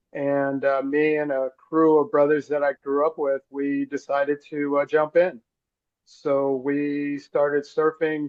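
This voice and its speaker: Man with an American accent, an unremarkable speaking voice, fairly high pitch and a fairly slow pace. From Los Angeles, South Central (Crenshaw). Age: 60s. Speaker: surf organization co-founder, surfer. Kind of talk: interview storytelling. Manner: relaxed, with many fillers.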